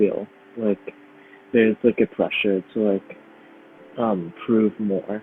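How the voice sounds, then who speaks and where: Speaking slowly with an American accent, a man holds a medium pitch and fairly even intonation. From Brooklyn, New York. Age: 20s. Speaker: violinist and composer, conservatory student. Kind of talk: interview. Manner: hesitant, many fillers.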